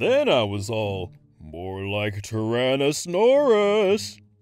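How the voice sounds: Using a put-on character voice, a man speaks very slowly at a medium pitch.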